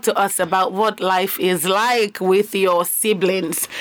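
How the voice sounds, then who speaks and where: A woman with a medium-pitched voice is heard over noticeable background noise. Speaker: radio host. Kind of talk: radio talk show with call-ins. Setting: radio studio. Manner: animated.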